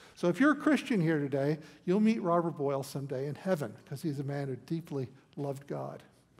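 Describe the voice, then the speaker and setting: Speaking in an American accent, a man has a fairly high pitch and a somewhat breathy voice, with ordinary pitch variation and a fairly quick pace. The recording is very clean, with a silent background. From United States. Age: 70s. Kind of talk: lecture with demonstrations to an audience. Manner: animated.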